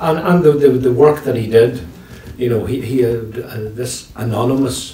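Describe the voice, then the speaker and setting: Over noticeable background noise and audible room echo, a man with a Northern Irish accent speaks at medium pitch with ordinary variation. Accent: Tyrone Northern Irish. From Northern Ireland, County Tyrone. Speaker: retired teacher and storyteller. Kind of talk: interview chat. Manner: fast.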